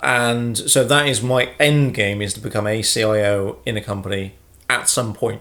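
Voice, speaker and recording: A man mumbles in a medium pitch. His pitch varies in an ordinary way. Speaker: YouTuber. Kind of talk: casual Q&A vlog. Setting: sitting at home with a brew. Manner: fast; mumbling.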